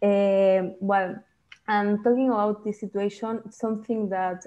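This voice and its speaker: A monotone, flat intonation in a Uruguayan accent at a fairly slow pace. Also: woman. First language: Spanish. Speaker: student activist. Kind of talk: open mic sharing in online workshop. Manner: halting.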